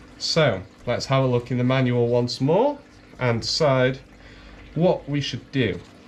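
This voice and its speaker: Speaking very slowly, a man with a northern English accent uses a medium-pitched voice. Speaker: coral seller demonstrating fragging. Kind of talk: tutorial. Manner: casual.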